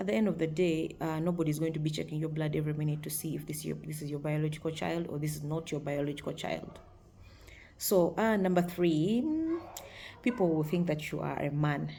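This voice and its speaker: A woman speaks in a very deep, low pitch with a dark, mellow, somewhat breathy tone. Her pace is fairly quick and her intonation fairly even, with audible room echo. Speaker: video blogger. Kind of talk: casual talk to camera. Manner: hesitant, many fillers.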